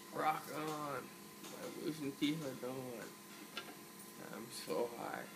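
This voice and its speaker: The man speaks at a very slow pace. Noticeable background noise runs underneath. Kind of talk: casual vlog chat. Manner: groggy, sedated speech after oral surgery. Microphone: phone near.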